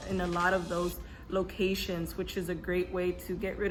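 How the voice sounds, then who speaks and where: A woman with an American accent speaks at a moderate pace. Her medium pitch carries vocal fry. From California. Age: 20s. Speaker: lifestyle YouTuber. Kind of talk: casual talk to camera.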